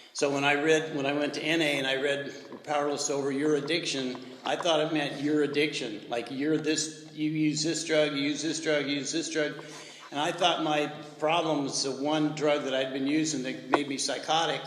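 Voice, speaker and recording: Amid noticeable background noise and audible room echo, a man speaks at a moderate pace in a fairly high, monotone, flat voice. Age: 70s. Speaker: recovery speaker at men's retreat. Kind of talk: testimony.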